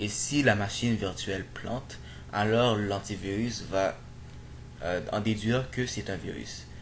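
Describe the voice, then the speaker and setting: A man with a non-native accent and a fairly low pitch, at a very slow pace with ordinary pitch variation and audible room echo. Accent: non-native French accent, self-described. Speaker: programming tutorial youtuber. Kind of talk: screen-recorded tutorial. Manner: halting, many fillers and repetitions.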